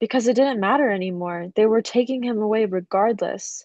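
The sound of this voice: An unforced reading voice, ordinary pitch variation, and a quiet background.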